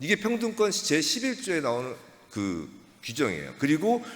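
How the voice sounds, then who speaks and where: A man's pitch swings very widely. Audible room echo and noticeable background noise surround his voice. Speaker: pastor and lawyer. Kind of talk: lecture. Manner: fast.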